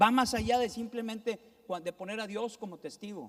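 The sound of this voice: In a northern Mexican accent, a man with a high pitch and fairly bright tone speaks at a moderate pace with ordinary pitch variation.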